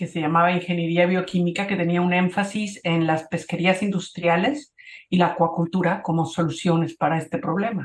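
Here a woman speaks in a plain, everyday voice at a fairly low pitch. Her intonation is fairly even and her pace moderate. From Mexico, Cuernavaca. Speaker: photographer and conservationist. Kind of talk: interview.

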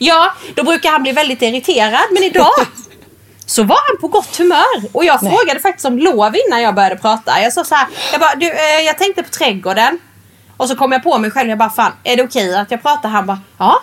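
Over noticeable background noise, a woman talks quickly at a high pitch with very wide pitch swings. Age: 30s. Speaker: podcast co-host. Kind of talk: casual chat; reading aloud.

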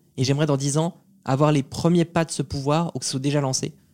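A man's fairly high voice at a very fast pace, with fairly even intonation, a dry, close sound with no echo, and a very clean recording over a silent background. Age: 20s. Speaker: entrepreneur and video creator. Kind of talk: casual interview.

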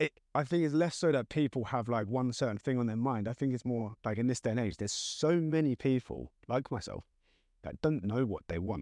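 In a dry, close recording with a quiet background and no echo, a man speaks fairly quickly at medium pitch, with a dark, mellow tone and ordinary pitch variation. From southern England. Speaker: podcast guest. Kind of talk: casual chat.

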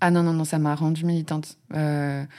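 Speaking at a fairly slow pace, a woman is heard on a very clean recording with a silent background. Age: 30s. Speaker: drag king and drag school founder. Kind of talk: casual interview. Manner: hesitant with fillers.

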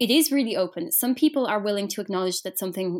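A woman with an Irish accent at a medium pitch, very wide pitch swings, on a very clean recording with a silent background. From Ireland. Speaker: journalist. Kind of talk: interview.

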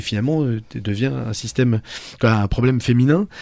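Ordinary pitch variation marks a man's medium-pitched speech. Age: 40s. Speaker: radio host. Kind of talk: casual chat.

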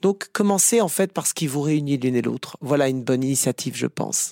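A man with a plain, everyday voice, fairly high in pitch, at a fairly quick pace, in a dry, close sound with no echo on a very clean recording with a silent background. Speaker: psychotherapist. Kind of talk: interview.

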